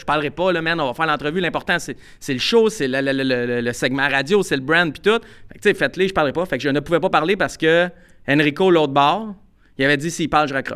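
A man speaks with a Quebec accent at a fairly quick pace, his pitch fairly high and his tone bright and sharp. The pitch varies in an ordinary way, and the recording is very clean with a silent background. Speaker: podcast co-host, sports journalist. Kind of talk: casual chat.

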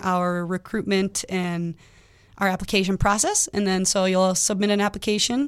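A woman with an American accent speaks at a moderate pace in a monotone, flat intonation. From Minnesota, Twin Cities (Lakeville). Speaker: firefighter and EMT. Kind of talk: radio interview.

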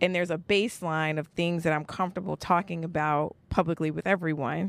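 A normal speaking voice with ordinary pitch variation and an American accent comes through on a very clean recording with a silent background. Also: woman. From New York (Brooklyn). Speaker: geneticist and podcaster. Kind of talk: casual interview chat.

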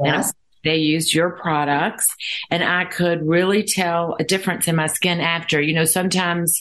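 A woman speaks at a moderate pace with a fairly low pitch and monotone, flat intonation. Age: 60s. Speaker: podcast host. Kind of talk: interview.

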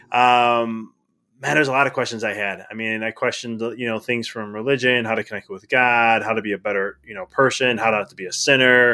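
A man with an unremarkable speaking voice talks at a fairly quick pace and a medium pitch. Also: fairly even intonation. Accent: American. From Chicago area, Illinois. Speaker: chiropractor turned life coach. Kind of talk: podcast interview.

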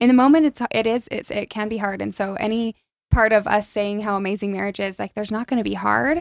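With a Utah accent, this very fast speaker uses ordinary pitch variation in a dry, close sound with no echo. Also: woman, fairly high pitch for a woman. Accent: Utah American. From central Utah (Aurora, small town). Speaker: former college cheerleader. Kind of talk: casual interview chat.

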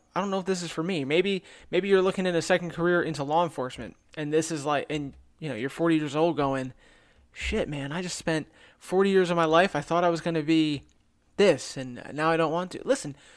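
On a very clean recording with a silent background, a man talks at a high pitch and moderate pace with ordinary pitch variation. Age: 30s. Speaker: podcast host and police officer. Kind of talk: monologue.

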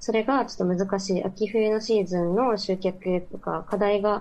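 A woman's unremarkable speaking voice at medium pitch with fairly even intonation. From Mie Prefecture, Japan. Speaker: university student. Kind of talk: remote interview. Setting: remote call.

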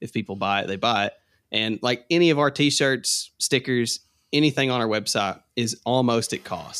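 Someone with an Appalachian accent talks at a moderate pace with ordinary pitch variation, in a very clean recording with a silent background. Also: man, medium pitch for a man. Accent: Southern US (Appalachian). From Kentucky. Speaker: TikTok content creator and artist. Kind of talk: casual podcast interview.

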